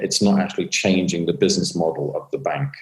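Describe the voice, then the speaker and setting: This is a man speaking with a British accent. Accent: British, easier to understand than American. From Britain. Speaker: author and fintech commentator. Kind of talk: interview monologue.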